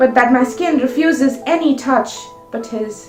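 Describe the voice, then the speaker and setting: Music plays in the background as a woman speaks. Her pitch is high, and her pace is fairly slow. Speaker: spoken word poet. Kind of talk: poetry reading.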